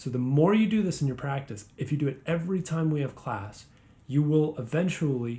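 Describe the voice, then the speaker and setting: Somewhat breathy and dark, mellow in tone, the man's voice shows ordinary pitch variation. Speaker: guitar teacher. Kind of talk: tutorial.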